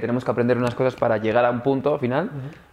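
A man speaks at a medium pitch in a monotone, flat intonation. Noticeable background noise runs underneath. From raised abroad, Canada and the Netherlands. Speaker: actor. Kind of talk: casual chat.

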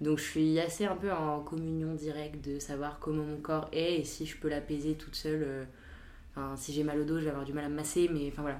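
With audible room echo, a woman with a very deep, low pitch talks at a fairly quick pace in a monotone, flat intonation. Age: 20s. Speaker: recent graduate. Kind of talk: casual chat.

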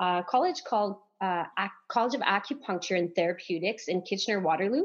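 With a French accent and lively intonation, a woman of medium pitch speaks against a quiet background. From Canada, northern Ontario, French-speaking. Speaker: acupuncturist and massage therapist. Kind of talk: casual podcast interview.

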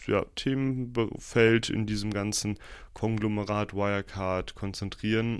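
A man's fairly low, monotone, flat voice at a fairly slow pace against a quiet background. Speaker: podcaster and university student. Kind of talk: casual solo podcast monologue.

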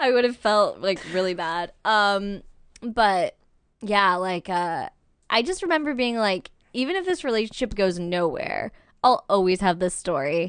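A woman with a normal speaking voice at a medium pitch, lively intonation at a fairly slow pace, over a quiet background. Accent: American. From Albany, New York. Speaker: actress and improv performer. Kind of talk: casual chat.

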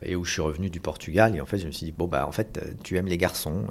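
A man speaks at a moderate pace with a very deep, low pitch. His pitch varies in an ordinary way. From Paris region, France. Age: 40s. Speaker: adoptive father. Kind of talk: testimony.

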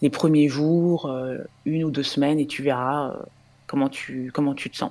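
A woman talks with ordinary pitch variation. The recording is very clean, and the background is silent. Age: 30s. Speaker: tech project manager and breastfeeding mother. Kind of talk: interview testimony. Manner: hesitant, many fillers.

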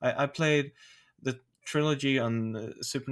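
A man speaks very slowly in a Swedish accent. His pitch is medium, with ordinary variation. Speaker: podcast co-host. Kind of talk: casual chat.

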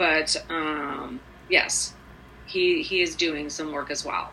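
Very slow delivery with ordinary pitch variation over noticeable background noise. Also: woman. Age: 50s. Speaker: recovery program member sharing her story. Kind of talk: casual interview.

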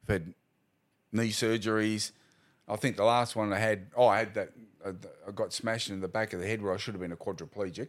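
On a very clean recording with a silent background, a man with an Australian accent talks at a fairly quick pace. His pitch is fairly low and his intonation fairly even. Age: 60s. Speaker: retired police officer. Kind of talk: casual interview.

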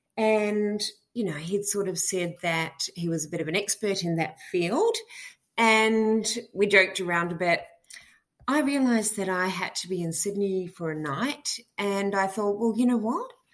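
A woman's medium-pitched voice in an Australian accent, at a moderate pace with ordinary pitch variation. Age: 50s. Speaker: listener caller. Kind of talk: voice message.

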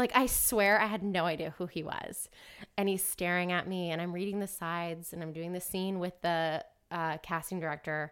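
In an American accent, a woman with an ordinary speaking voice speaks at a moderate pace in a fairly low pitch with fairly even intonation, on a very clean recording with a silent background. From US South, Atlanta, Georgia. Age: 30s. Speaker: actress and dancer. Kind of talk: casual chat.

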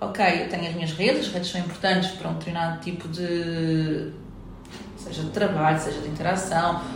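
Through audible room echo and noticeable background noise, a woman speaks at a fairly quick pace with a fairly low pitch and fairly even intonation. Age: 40s. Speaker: psychologist and real estate entrepreneur. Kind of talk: interview. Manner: halting.

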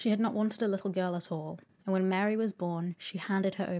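A woman with an unremarkable speaking voice talks at a fairly quick pace in a medium pitch, her intonation fairly even, on a very clean recording with a silent background. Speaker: sleep podcast host and narrator. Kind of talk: soothing bedtime story reading of a classic novel. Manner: soft-spoken, relaxed storyteller pacing.

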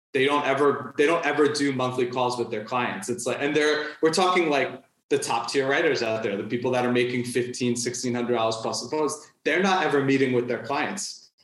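With an American accent, a man talks at a fairly quick pace and medium pitch, showing ordinary pitch variation amid audible room echo. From New York. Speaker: freelance writer and content strategist. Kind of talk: interview conversation.

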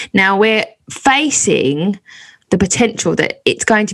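The voice shows lively intonation. Vocal fry can be heard in it. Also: woman. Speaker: burlesque performer and comedian, podcast host. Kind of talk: casual interview. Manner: animated, theatrical.

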